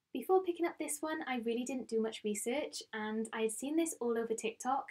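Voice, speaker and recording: Lively in her intonation, a woman with a Welsh accent speaks at a fairly quick pace and a high pitch. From Wales. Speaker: book vlogger. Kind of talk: casual chat.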